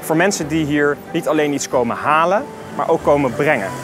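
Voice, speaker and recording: A man is speaking while music plays behind him. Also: dry sound with no echo. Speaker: presenter, politician. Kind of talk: scripted presentation to camera. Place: street. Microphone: lapel.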